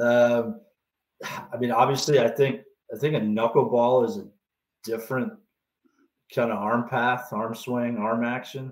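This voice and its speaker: At a fairly slow pace and a medium pitch, a man with a Canadian accent speaks with monotone, flat intonation and long, frequent pauses. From Canada. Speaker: baseball pitching coach. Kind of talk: podcast interview. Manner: halting, many fillers.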